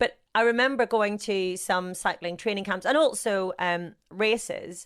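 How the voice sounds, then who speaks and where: On a very clean recording with a silent background, a woman with a Northern Irish accent speaks at a fairly slow pace with ordinary pitch variation. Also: medium pitch for a woman. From Northern Ireland, rural. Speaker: sports broadcaster. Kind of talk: interview. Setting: podcast.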